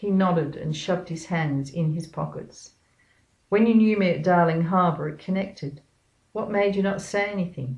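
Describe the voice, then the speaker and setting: At a moderate pace, the somewhat breathy voice shows ordinary pitch variation. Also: woman, fairly low pitch for a woman. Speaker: author reading her own novel. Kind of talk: audiobook-style reading of a thriller excerpt.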